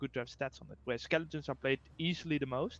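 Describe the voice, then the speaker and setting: A man with a strong Dutch accent speaks at a fairly high pitch with fairly even intonation. The sound is dry and close with no echo, against a quiet background. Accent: strong Dutch accent, rolling R. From Netherlands, near Rotterdam. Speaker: game developer, guest co-caster. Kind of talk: casual chat, game commentary. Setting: live stream. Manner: hesitant, many fillers.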